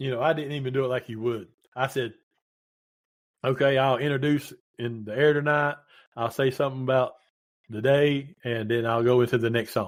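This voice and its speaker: Using a Southern West Virginia accent, a medium-pitched man speaks at a fairly quick pace with fairly even intonation and long, frequent pauses. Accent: Southern West Virginia, noticeable. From Southern West Virginia (Williamson). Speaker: retired paramedic and radio DJ. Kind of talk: casual interview chat.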